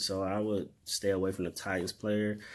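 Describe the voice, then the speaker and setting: Pitched fairly low, a man speaks in a monotone with flat intonation. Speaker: sports podcast host. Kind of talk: casual vlog commentary. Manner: halting, stuttering.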